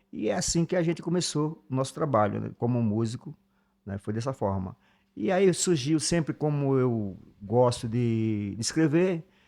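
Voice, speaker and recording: Using lively intonation, a man speaks at a moderate pace and medium pitch with a dark, mellow tone. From Brazil, Alagoas (Northeast). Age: 50s. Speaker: musician and songwriter. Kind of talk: interview conversation.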